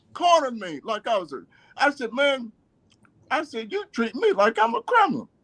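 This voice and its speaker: Speaking at a moderate pace, a man uses an animated tone, an extremely high pitch and very wide pitch swings. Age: 60s. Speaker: community activist and former navy officer. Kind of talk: radio interview, personal story. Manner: halting, many fillers and repeats; animated, emotional.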